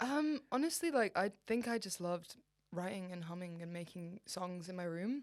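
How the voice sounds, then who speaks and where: A medium-pitched female voice at a moderate pace, with lively intonation. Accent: Manchester. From Egypt (Cairo) then Manchester, England from age eight. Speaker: independent musician. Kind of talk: casual interview chat. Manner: animated.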